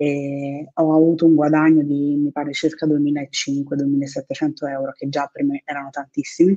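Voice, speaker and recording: Very deep and low, this woman's dark, mellow voice stays monotone and flat, with a dry, close sound and no echo. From Naples, southern Italy. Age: 30s. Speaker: affiliate marketer, course student. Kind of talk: interview.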